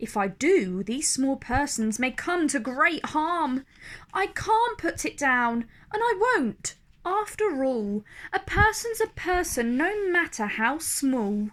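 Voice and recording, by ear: A put-on character voice at a slow pace, with big pitch swings and a fairly bright tone. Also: woman, high pitch for a woman.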